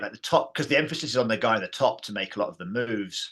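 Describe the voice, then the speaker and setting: Speaking very fast in an English accent, the voice has a bright, sharp tone and lively intonation. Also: man. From England. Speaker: martial arts teacher and founder of a training system. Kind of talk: interview. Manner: hesitant, many fillers and repeats.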